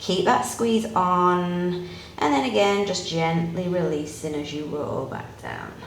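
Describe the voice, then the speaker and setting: A calm-toned woman at a very slow pace, with ordinary pitch variation, noticeable background noise and audible room echo. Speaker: yoga instructor. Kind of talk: guided exercise instruction. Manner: slow, calm cueing.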